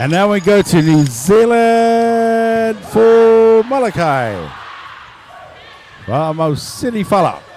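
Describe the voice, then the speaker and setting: Over noticeable background noise, a man speaks in an animated tone with lively intonation. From Tonga. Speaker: weightlifting commentator. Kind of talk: live commentary. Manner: quieter.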